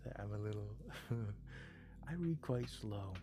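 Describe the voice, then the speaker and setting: Fairly slow speech with music in the background. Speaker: live streamer. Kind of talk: casual live-stream chat with viewers. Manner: soft-spoken.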